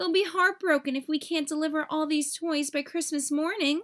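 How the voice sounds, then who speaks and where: A woman uses a put-on character voice, pitched high and delivered at a moderate pace. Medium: read story.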